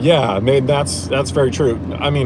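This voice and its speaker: There is noticeable background noise and audible room echo as a man talks with an American accent. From Indiana, US Midwest. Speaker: streamer. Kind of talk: casual chat. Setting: in a car. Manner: many fillers and restarts.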